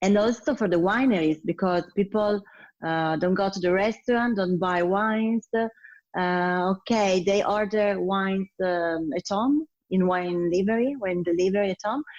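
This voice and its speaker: The speaker talks with an Italian accent. The background is quiet. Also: woman, medium pitch for a woman, ordinary pitch variation, moderate pace. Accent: Italian, non-native English. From Italy, Piedmont (Turin). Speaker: sommelier. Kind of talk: interview. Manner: hesitant, many fillers.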